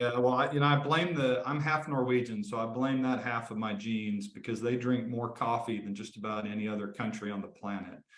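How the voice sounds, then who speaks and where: A man with a Texan accent talks at a fairly quick pace and medium pitch, with hardly any pauses. His intonation is fairly even, and audible room echo is present. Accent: talks funny, Texan. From Northeast Texas (Henderson). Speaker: lawyer, law firm founder. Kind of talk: casual interview chat.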